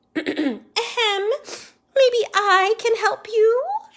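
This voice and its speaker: In a squeaky, put-on character voice, a woman speaks at an extremely high pitch with ordinary pitch variation. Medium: read story. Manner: playful, contrary.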